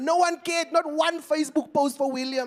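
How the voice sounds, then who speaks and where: Over noticeable background noise, the speaker talks at a fairly quick pace in an animated tone. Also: man. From South Africa, Eastern Cape. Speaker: stand-up comedian. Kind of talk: stand-up. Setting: stage with audience.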